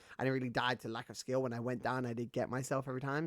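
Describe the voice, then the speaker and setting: A man with a British accent speaks at medium pitch and a fairly quick pace. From Britain. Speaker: gaming streamer. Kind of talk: casual live-stream gaming commentary.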